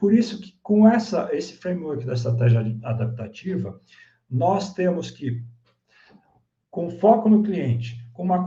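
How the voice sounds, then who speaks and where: With a dark, mellow tone, a man speaks at a high pitch and fairly slow pace, his intonation lively, in a room with audible echo. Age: 60s. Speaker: business consultant and speaker. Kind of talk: online masterclass presentation.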